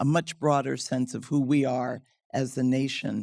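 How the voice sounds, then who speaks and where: The recording is very clean, with a silent background. A woman with an American accent speaks at a very deep, low pitch. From United States. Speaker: diplomat. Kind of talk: panel discussion.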